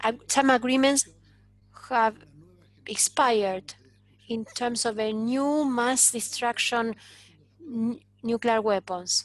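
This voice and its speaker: Fairly high in pitch, a woman speaks at a very slow pace with fairly even intonation and long, frequent pauses. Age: 80s+. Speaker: panel speaker. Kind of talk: panel discussion. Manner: halting.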